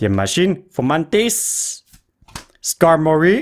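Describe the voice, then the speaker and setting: A man with a Quebec accent speaks at a fairly high pitch. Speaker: YouTuber opening trading card packs. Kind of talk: casual card-opening commentary. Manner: animated.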